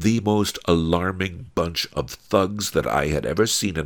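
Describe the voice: The clip is plain reading aloud.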